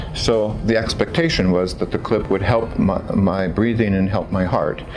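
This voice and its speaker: Over music in the background and audible room echo, a man with an American accent talks at a moderate pace with a fairly low pitch. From California, US. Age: 60s. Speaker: patient giving testimonial. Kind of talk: testimony. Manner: halting, with fillers.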